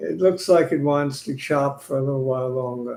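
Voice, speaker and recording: A man with a Brooklyn accent speaks at a fairly high pitch with ordinary pitch variation. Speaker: stock market commentator. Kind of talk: casual market analysis chat.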